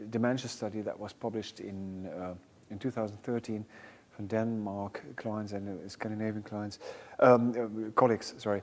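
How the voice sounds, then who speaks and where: A man's fairly low voice with a German accent, flat and monotone, on a very clean recording with a silent background. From Germany. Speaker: music therapy researcher. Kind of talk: panel discussion. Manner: halting.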